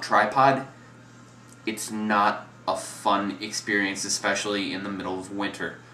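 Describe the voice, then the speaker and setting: A man's fairly low voice with an American accent at a moderate pace, with audible room echo. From US Midwest. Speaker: photography vlogger. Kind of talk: gear review tutorial. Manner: casual with fillers and repetitions.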